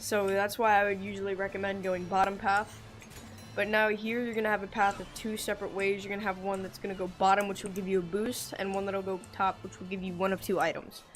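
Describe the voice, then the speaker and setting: Over music in the background, a woman talks at a very fast pace with monotone, flat intonation. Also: medium pitch for a woman. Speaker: gaming youtuber. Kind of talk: tutorial. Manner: halting.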